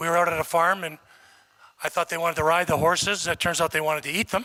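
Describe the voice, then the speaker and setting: Speaking at a very fast pace, a man with a Canadian accent has a high pitch. His tone is bright and sharp. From Canada. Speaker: former college football player, hall of fame inductee. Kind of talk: acceptance speech. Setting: awards ceremony with audience.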